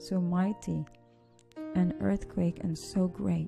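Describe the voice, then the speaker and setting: Soft-spoken and at a very slow pace, a woman talks with music in the background. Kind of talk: scripture reading.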